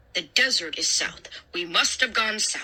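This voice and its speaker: A female-sounding voice whispers in a put-on character voice. The pace is moderate. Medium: read story. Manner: grumpy, irritable.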